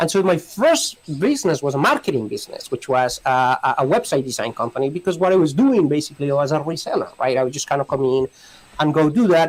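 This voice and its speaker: Lively in intonation and very fast in pace, a man speaks with a Spanish accent at a fairly high pitch. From Colombia. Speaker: immigration lawyer. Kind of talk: podcast interview. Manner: halting, many repetitions.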